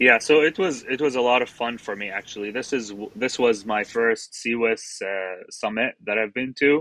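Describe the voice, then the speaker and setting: A man with an Arabic accent speaks at a moderate pace and medium pitch in a bright, sharp tone, with ordinary pitch variation, hardly any pauses, and a dry, close sound with no echo. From Middle East (Jordanian, raised in Qatar). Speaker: surgical fellow. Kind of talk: interview.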